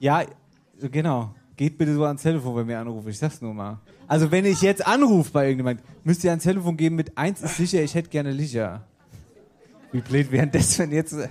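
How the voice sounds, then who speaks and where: An animated man with a Hessian accent, fairly high-pitched, fairly quick yet with long, frequent pauses. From Germany, Wetterau region of Hesse. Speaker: podcast host. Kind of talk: live show before audience. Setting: stage with audience.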